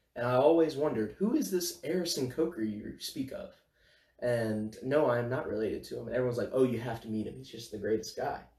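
A man's dark, mellow, somewhat breathy voice at medium pitch and a very fast pace, with ordinary pitch variation and big swings in loudness. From northern Louisiana, Bossier City. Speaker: college student podcast co-host. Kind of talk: casual chat.

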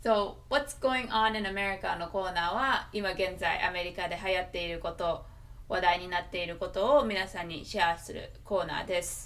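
A woman with a Japanese accent talks at a very fast pace in a medium pitch, with ordinary pitch variation, big swings in loudness and noticeable background noise. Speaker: podcast co-host. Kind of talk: casual chat; scripted outro.

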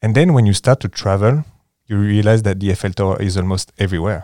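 At a very fast pace, a man with a French accent speaks at a fairly low pitch in a dark, mellow tone. The sound is dry and close with no echo, in a very clean recording with a silent background. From France, near Paris. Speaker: board game enthusiast guest. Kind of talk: casual interview chat.

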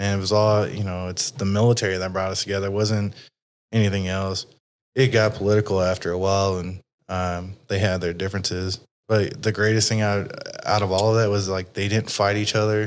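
This man talks with a Texas accent at a fairly quick pace, his pitch fairly low and his intonation monotone and flat. The recording is very clean, with a silent background. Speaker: podcast host. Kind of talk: casual interview chat. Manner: casual, profane.

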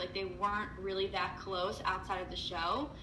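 A woman speaks at a fairly quick pace with an American accent and a medium pitch. Music plays in the background, and room echo is audible. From New Jersey. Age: 20s. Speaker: podcast co-host. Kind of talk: casual chat.

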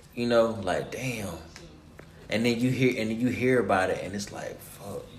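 Moderate-paced speech from a man at a medium pitch, intonation fairly even, noticeable background noise behind him. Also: long, frequent pauses, big swings in loudness. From Ohio. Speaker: podcast host. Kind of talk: casual chat.

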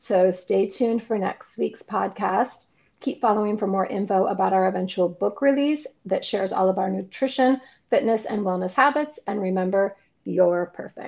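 The pitch rises and falls in an ordinary way, at a moderate pace. It is a plain, everyday voice. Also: woman, medium pitch for a woman. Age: 50s. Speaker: podcast host and fit model. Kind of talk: podcast intro and outro.

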